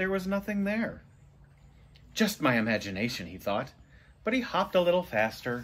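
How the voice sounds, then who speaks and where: A man speaks with very wide swings in pitch and big shifts in loudness. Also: moderate pace. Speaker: storybook reader. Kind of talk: read-aloud storytelling. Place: home room. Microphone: phone near.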